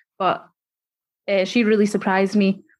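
Monotone and flat, a woman speaks in a Scottish accent. The recording is very clean, with a silent background. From Scotland. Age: 20s. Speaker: youth care advocate. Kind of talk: interview.

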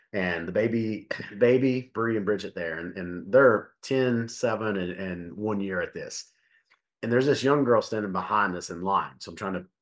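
Against a quiet background, a man with an unremarkable speaking voice talks at a moderate pace in a fairly low pitch, with ordinary pitch variation. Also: big swings in loudness. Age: 40s. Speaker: podcast host, fitness coach. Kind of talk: casual chat.

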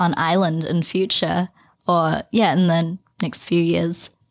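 In a very clean recording with a silent background, a woman with a New Zealand accent speaks at a fairly slow pace in a fairly low pitch. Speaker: podcast host. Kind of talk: casual interview chat.

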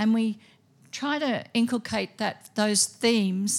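A woman with a normal speaking voice talks at a fairly slow pace, at medium pitch with ordinary pitch variation. The recording is very clean, with a silent background. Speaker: school principal. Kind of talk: open evening presentation. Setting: school hall with audience.

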